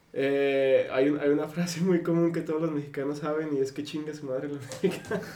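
Amid noticeable background noise and audible room echo, a man with a fairly high pitch talks at a fairly quick pace with fairly even intonation and hardly any pauses. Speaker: podcast co-host. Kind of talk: casual chat.

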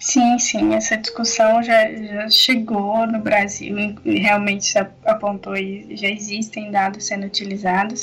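The intonation is flat and monotone. Background noise can be clearly heard. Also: woman, medium pitch for a woman, fairly slow pace. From Minas Gerais, Brazil (Barbacena). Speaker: sociologist and graduate researcher. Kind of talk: podcast interview. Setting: remote recording from home.

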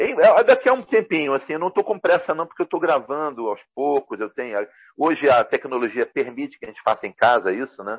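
A man speaks at a very fast pace. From Rio de Janeiro, Brazil. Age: 50s. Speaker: comics journalist and translator. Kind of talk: casual interview chat.

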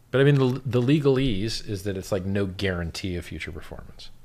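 With an American accent and ordinary pitch variation, the voice carries audible room echo. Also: man. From Miami, Florida. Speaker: cryptocurrency founder. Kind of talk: casual chat.

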